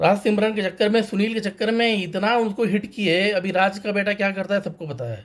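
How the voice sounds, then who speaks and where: A man's high-pitched voice at a moderate pace, with fairly even intonation and hardly any pauses. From North India, Varanasi. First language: Tamil (speaking Hindi). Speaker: banker sharing a film review. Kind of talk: personal vlog monologue.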